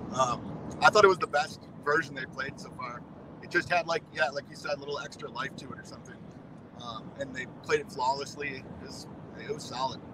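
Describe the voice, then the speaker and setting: Against noticeable background noise, a man with a fairly high pitch talks at a fairly quick pace, his loudness swinging widely and his pitch varying in an ordinary way. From Wisconsin. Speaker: concert-goer, music fan. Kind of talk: casual chat.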